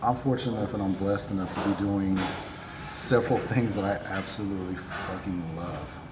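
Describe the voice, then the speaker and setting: A quiet man's voice, fairly low-pitched and fairly quick, with fairly even intonation, noticeable background noise and audible room echo. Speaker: apparel brand owner and personal trainer. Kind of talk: casual chat. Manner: quiet in conversation, talks with hands.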